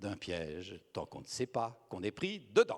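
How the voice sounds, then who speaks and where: A man talks at a moderate pace. His voice has vocal fry. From Belgium. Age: 60s. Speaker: speaker on communication and psychology. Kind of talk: conference talk.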